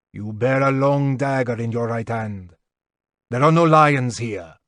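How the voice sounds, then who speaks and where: A man's put-on character voice, medium in pitch, at a fairly slow pace. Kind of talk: archaic, ritual speech. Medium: read story. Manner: formal, ceremonious, cryptic.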